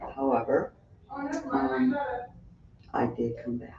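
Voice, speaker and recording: A woman's pitch swings very widely at a very slow pace. Noticeable background noise is present. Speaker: spiritual community member sharing life story. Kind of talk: interview.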